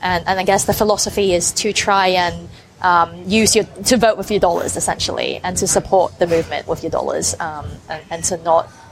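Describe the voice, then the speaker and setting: Music plays in the background beneath speech with fairly even intonation. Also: woman. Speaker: journalist. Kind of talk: interview. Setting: cafe.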